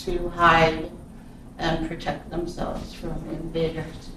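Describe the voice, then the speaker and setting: With an American accent, a woman speaks at a very slow pace amid noticeable background noise and audible room echo. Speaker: Native cultural restoration worker. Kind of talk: talk to church congregation. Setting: church.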